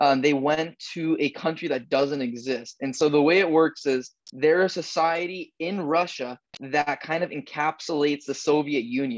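At a moderate pace, a man speaks in an unremarkable speaking voice with a fairly high pitch and fairly even intonation. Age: 20s. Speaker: podcast co-host, real estate worker. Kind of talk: casual chat.

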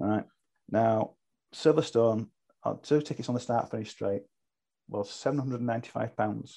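In a British accent, a man speaks very slowly at a medium pitch, his tone dark and mellow, with long, frequent pauses. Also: ordinary pitch variation. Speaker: online racing team leader. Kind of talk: casual chat.

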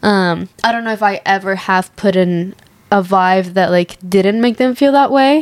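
A woman talks at a medium pitch. Behind her, background noise is noticeable. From Mexico. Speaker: podcast co-host. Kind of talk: casual chat.

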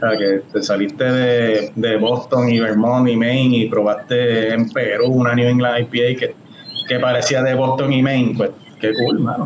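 Over noticeable background noise, a man with a Puerto Rican accent and a medium pitch talks at a fairly slow pace with fairly even intonation and very even loudness. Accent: Puerto Rican, likened to reggaeton singers. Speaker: homebrewer and beer judge. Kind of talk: casual chat.

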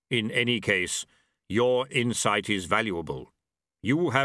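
In a quiet setting, the text is read aloud in a natural voice.

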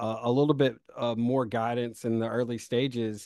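An ordinary speaking voice with an American accent moves at a moderate pace with fairly even intonation. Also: man. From South Carolina, US South. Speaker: startup founder and CEO. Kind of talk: interview.

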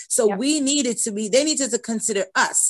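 Fairly high-pitched and lively, a woman talks at a fairly quick pace in a dry, close sound with no echo over a quiet background. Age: 50s. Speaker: preschool teacher. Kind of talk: casual chat.

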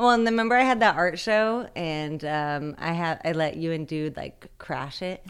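Against a silent background in a very clean recording, a woman with an ordinary speaking voice talks at a moderate pace with a fairly low pitch and lively intonation. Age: 30s. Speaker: artist. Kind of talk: casual chat.

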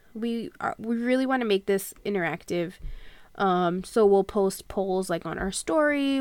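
The recording is very clean with a silent background as a woman, in an ordinary speaking voice, talks at a fairly slow pace and a medium pitch. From Long Island, New York. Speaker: podcast co-host. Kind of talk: casual chat.

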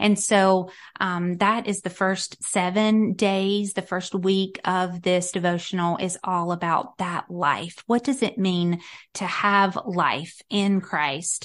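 The speaker has a slight Southern US accent, talking at a very slow pace with fairly even intonation. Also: woman, medium pitch for a woman, quiet background. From US South, North Carolina. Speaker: author and Bible teacher. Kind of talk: casual interview chat.

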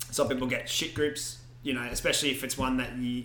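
At a fairly quick pace, a man with a medium pitch speaks in a monotone, flat intonation, with audible room echo and noticeable background noise. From Scottish Highlands. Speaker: D&D podcast co-host, player. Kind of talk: casual chat. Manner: laughs often.

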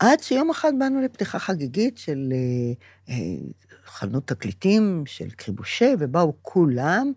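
A woman's fairly low, dark, mellow voice with very wide pitch swings, on a very clean recording with a silent background. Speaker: podcast co-host, grandmother. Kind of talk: casual chat.

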